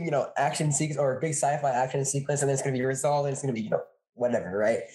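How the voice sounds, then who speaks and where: Speaking very fast, a man with a fairly high pitch has a dark, mellow tone and a somewhat breathy quality. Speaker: podcast co-host, college student. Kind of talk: casual chat. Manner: animated, talkative.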